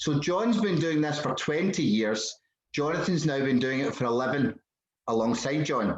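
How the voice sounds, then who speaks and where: Speaking at a moderate pace with a Scottish accent, a man with a fairly high pitch keeps his loudness very even and his intonation lively over a quiet background. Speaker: podcast host. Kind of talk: casual conversation.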